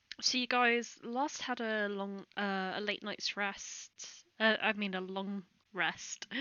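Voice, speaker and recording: Delivered at a very slow pace, the speech keeps a fairly even intonation. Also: woman, medium pitch for a woman. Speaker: game master. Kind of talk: tabletop role-play session.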